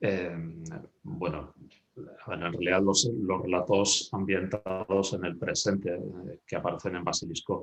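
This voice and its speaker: A man speaks with a very deep, low pitch in a flat monotone. His pace is fairly slow, with long, frequent pauses. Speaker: novelist. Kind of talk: author interview. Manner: halting.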